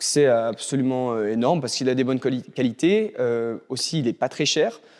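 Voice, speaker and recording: A man with a medium pitch speaks at a moderate pace, showing ordinary pitch variation. The recording is very clean, with a silent background. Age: 20s. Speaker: PhD student and chemical engineer. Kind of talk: interview. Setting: school library. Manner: hesitant, many filler sounds.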